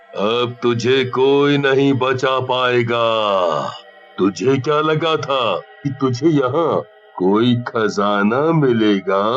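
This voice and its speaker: Using a cartoonish character voice, a man speaks at a very slow pace and medium pitch. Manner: menacing, taunting.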